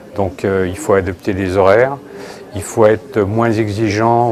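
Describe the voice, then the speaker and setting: At a moderate pace, a man with a fairly low voice talks over noticeable background noise. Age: 60s. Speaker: company executive in a news report. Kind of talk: interview. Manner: halting, many hesitations.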